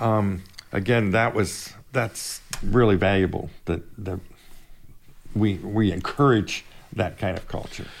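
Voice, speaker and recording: At a fairly slow pace, a man with a US Midwestern accent and fairly low pitch speaks with fairly even intonation and long, frequent pauses. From Indiana, Fort Wayne. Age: 70s. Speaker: company vice president. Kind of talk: casual interview. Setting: office studio, across the table.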